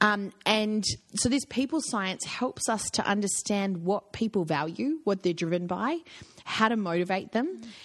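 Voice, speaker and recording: Lively in intonation, a woman with an Australian accent and medium pitch speaks at a moderate pace against a quiet background. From Australia, with youth in Africa and Germany. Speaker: executive coach. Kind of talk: interview conversation.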